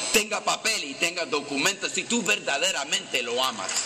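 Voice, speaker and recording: A man at a fairly slow pace with very wide pitch swings, over noticeable background noise. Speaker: politician addressing a rally. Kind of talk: rally speech. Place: stadium. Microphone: camera far.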